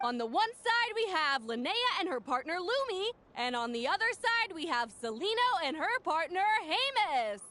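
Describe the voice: Using a put-on character voice, a woman speaks at a moderate pace with an extremely high pitch, big pitch swings and a bright, sharp tone.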